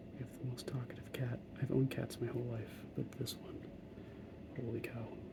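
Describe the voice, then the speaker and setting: A man whispers at a moderate pace with hardly any pauses. Noticeable background noise sits behind him. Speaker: hobby miniature painter. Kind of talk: casual talk while painting miniatures. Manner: soft-spoken.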